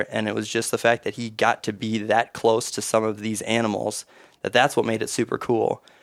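A man with an Upper Midwest accent, medium pitch and a monotone, flat intonation. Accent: Upper Midwest (Minnesota). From Minnesota, east central small town. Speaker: hunting conservation group chapter chair. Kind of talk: casual chat.

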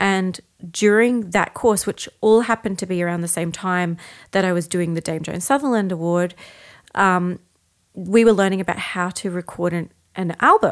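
A woman with an Australian accent at a moderate pace and medium pitch, on a very clean recording with a silent background. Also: ordinary pitch variation. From Australia, Brisbane. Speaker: soprano singer. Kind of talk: casual chat.

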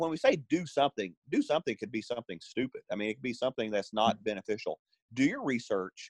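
At a very fast pace, a man with an Arkansas accent talks at a medium pitch with lively intonation. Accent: Southern US (Arkansas). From US South, Northwest Arkansas. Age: 40s. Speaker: fitness trainer. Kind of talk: casual chat.

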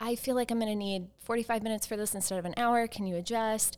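Fairly quick and at a medium pitch, a woman speaks in an unremarkable speaking voice on a very clean recording with a silent background. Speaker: wedding planner and business owner.

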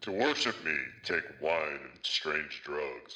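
A man puts on a character voice with a solemn tone. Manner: solemn, commanding.

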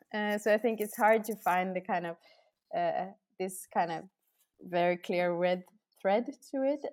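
A woman speaks with a Norwegian accent. The recording is very clean, with a silent background. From Norway. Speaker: architect. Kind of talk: interview. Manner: hesitant, many fillers.

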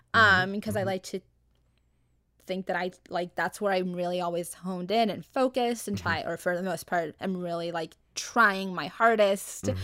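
Using a bright, sharp tone at a medium pitch, a woman with an American accent talks at a moderate pace with ordinary pitch variation. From Arizona. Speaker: graphic designer. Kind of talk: casual chat.

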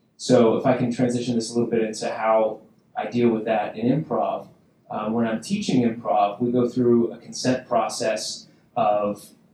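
A man at a moderate pace in a flat monotone, with noticeable background noise. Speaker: improv performer. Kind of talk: panel discussion.

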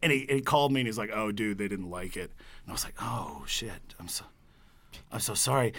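Talking at a fairly quick clip, a man with a fairly low pitch and vocal fry uses lively intonation while his loudness swings widely. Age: 30s. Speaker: musician and guitar builder. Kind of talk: casual chat.

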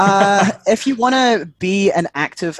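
A man with a British accent, ordinary pitch variation, and a dry, close sound with no echo over a quiet background. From UK. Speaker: educator and mental health worker. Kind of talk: casual chat.

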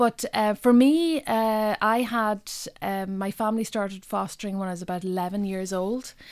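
A woman speaks in a Donegal accent at medium pitch, moving at a moderate pace with ordinary pitch variation. The recording is very clean, the background silent. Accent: Donegal Irish. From Ireland, northwest Donegal. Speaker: poet. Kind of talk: interview. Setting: radio studio. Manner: halting.

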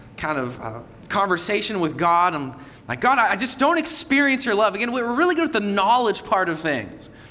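With audible room echo and noticeable background noise, the voice is raised and projected, its pitch swinging very widely. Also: man. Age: 30s. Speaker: visiting pastor. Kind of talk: Sunday sermon, passionate repeated refrains to the congregation. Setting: church service with congregation. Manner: loud, high-energy; emphatic, rising repetition in full preaching flow.

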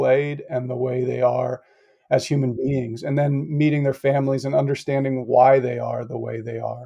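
With an American accent, a man speaks at a medium pitch in a dark, mellow tone, his intonation monotone and flat. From US Northeast, Connecticut. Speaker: former college basketball coach. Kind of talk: interview. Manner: halting.

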